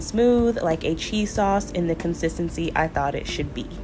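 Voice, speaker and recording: Against noticeable background noise, a woman speaks at a fairly low pitch with ordinary pitch variation. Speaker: home cook. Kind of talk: voiceover cooking tutorial.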